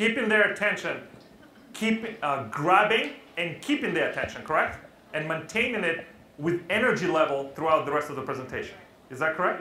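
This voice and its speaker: Over noticeable background noise and audible room echo, a high-pitched man speaks fairly quickly in an animated tone with lively intonation. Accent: Russian. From Russia. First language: Russian. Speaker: public speaking trainer. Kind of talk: interactive workshop talk. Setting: stage with live audience.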